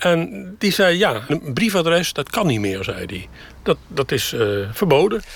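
A man with a fairly high voice speaks at a fairly slow pace, his pitch swinging very widely over a layer of vocal fry, on a very clean recording with a silent background. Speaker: retiree living in a camper. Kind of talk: interview. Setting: inside a camper.

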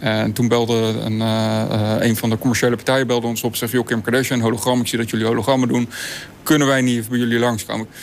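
With noticeable background noise behind him, a man speaks at a very fast pace and a medium pitch, his intonation monotone and flat. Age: 40s. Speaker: hologram company owner. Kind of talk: interview. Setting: studio loft.

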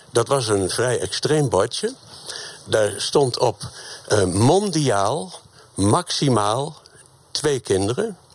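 With noticeable background noise, a man at medium pitch talks at a very slow pace with long, frequent pauses, very even loudness and very wide pitch swings. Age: old. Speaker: retired teacher. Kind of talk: live debate. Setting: radio bus on location.

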